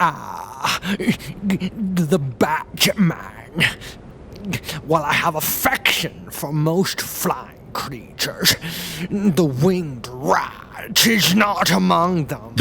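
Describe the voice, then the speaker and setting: Over clear background noise, a man does a put-on character voice at a high pitch and a very slow pace. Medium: audio drama. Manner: pompous, ornate vocabulary.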